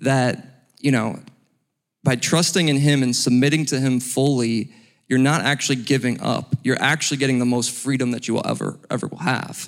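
In a very clean recording with a silent background, a man with an American accent speaks at a medium pitch and moderate pace. He has a plain, everyday voice with fairly even intonation. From Ohio, US. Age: 30s. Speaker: financial consultant. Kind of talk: testimony.

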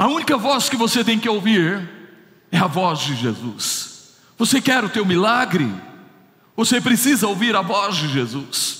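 A man's high, bright, sharp voice at a fairly slow pace, with very wide pitch swings and audible room echo. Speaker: pastor. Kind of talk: sermon.

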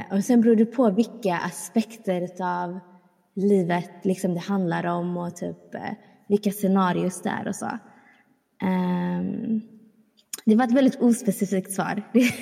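At a fairly slow pace, a woman with a medium pitch and a dark, mellow, somewhat breathy tone speaks in fairly even intonation, leaving long, frequent pauses. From small town in Sweden. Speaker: podcast co-host. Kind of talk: casual chat.

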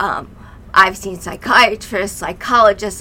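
At a fairly slow pace, a woman in an American accent speaks at medium pitch with fairly even intonation. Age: 50s. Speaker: mother of podcast host, mental health guest. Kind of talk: personal testimony.

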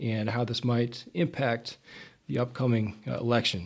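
Somewhat breathy and medium in pitch, a man speaks in a very clean recording with a silent background. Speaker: podcast host. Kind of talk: casual interview.

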